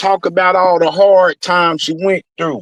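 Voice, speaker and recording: The speaker's tone is animated at a fairly slow pace, with a dry, close sound and no echo. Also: man. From US South. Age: 40s. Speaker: YouTube streamer. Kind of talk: heated rant.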